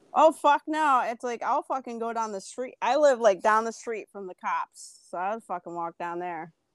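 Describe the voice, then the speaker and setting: Against a quiet background, a woman's fairly high voice sounds animated, swinging very widely in pitch with hardly any pauses, the sound dry and close with no echo. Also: moderate pace, big swings in loudness. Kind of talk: casual chat.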